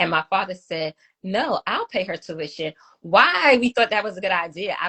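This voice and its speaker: A woman speaks in a Brooklyn accent at a medium pitch. Her pace is fairly quick, with ordinary pitch variation. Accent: Brooklyn New York. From New York City (Brooklyn). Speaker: domestic violence survivor, advocate. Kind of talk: testimony. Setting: live video stream interview.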